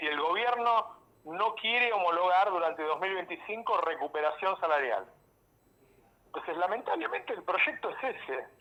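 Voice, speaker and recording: A man with a high pitch projects a raised voice at a moderate pace, his intonation lively. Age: 60s. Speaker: journalist. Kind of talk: radio interview.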